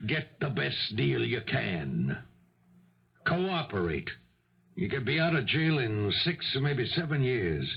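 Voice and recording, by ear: A man's put-on character voice at medium pitch, slow and full of big pitch swings, with vocal fry and audible room echo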